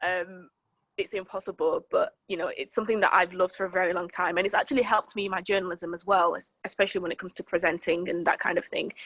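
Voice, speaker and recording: A woman's medium-pitched voice at a very fast pace, with fairly even intonation and a dry, close sound free of echo. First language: French. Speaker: weather presenter and journalist. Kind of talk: interview. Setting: sit-down interview.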